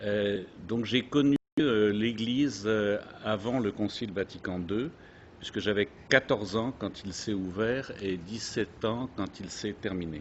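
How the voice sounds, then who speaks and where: At a very slow pace, a man speaks in a fairly low voice. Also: ordinary pitch variation. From France. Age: 70s. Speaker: speaker recounting faith experience. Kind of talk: testimony. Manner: halting, many hesitations.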